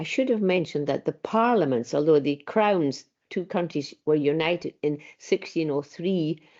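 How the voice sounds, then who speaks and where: A woman with a Scottish Highland accent talks with lively intonation at a very deep, low pitch. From Isle of Skye, Scotland. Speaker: folklorist and lecturer. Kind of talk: lecture.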